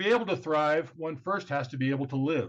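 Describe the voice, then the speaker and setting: With an American accent, a man talks at a moderate pace with ordinary pitch variation in an unremarkable speaking voice. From Southern California. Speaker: podcast host. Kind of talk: scripted introduction; interview.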